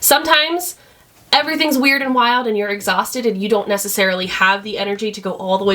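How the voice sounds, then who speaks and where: A woman talks very fast at a medium pitch with lively intonation, with noticeable background noise. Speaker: newborn photographer. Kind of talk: tutorial. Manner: loud; casual and conversational.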